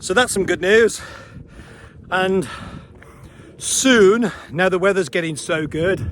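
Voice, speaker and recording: Loud and at a fairly slow pace, a man speaks with a high pitch and ordinary pitch variation. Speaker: paragliding instructor. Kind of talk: tutorial. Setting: outdoors. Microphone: action camera mic, poor sound.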